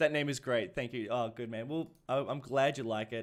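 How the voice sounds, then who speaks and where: A man with an Australian accent speaks at a medium pitch in a very clean recording with a silent background. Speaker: gaming streamer. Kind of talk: live stream chat. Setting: live stream.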